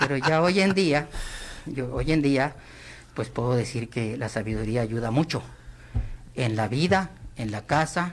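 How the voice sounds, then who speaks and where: A man talks at a medium pitch with lively intonation and vocal fry. He leaves long, frequent pauses. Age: 60s. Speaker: political commentator, former government worker. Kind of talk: radio interview.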